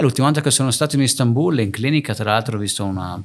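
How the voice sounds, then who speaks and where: Ordinary pitch variation in a man's speaking voice. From northern Italy (Lake Garda area), born in Naples; Northern Italy. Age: 30s. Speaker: entrepreneur, hair transplant clinic owner; podcast guest. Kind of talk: casual interview chat; interview answer. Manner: halting, frequent repetitions and fillers. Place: home room. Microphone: studio mic.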